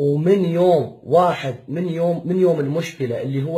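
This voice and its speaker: A man's fairly high-pitched voice with a dark, mellow tone, ordinary pitch variation and a fairly slow pace. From Iraq, Baghdad. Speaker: father pleading for help. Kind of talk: personal appeal video. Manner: emotional, repetitive pleading.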